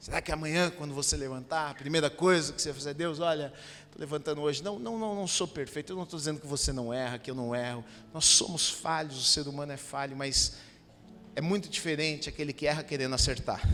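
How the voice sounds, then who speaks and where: With a bright, sharp tone and ordinary pitch variation, a man of fairly high pitch speaks at a very fast pace. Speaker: pastor. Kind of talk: sermon. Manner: animated.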